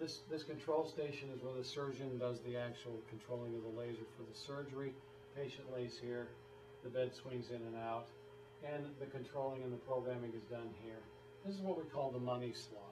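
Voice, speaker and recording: A man keeps a moderate pace and fairly even intonation while noticeable background noise carries on behind him. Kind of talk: lecture. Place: meeting room. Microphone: camera far.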